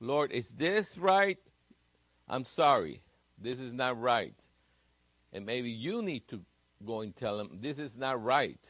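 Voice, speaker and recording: Long, frequent pauses break up speech that proceeds very slowly. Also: man, medium pitch for a man, lively intonation. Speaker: Sunday school teacher. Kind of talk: sermon. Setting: church.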